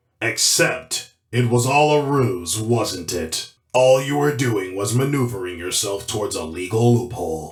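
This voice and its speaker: A cartoonish character voice delivered at a moderate pace with hardly any pauses. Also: man, medium pitch for a man. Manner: firm, authoritative.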